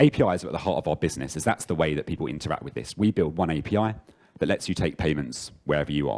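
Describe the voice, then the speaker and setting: A man's very deep, low voice with vocal fry and an English accent, very fast pace and ordinary pitch variation. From London, England. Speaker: software engineer, conference speaker. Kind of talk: conference talk. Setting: stage with audience.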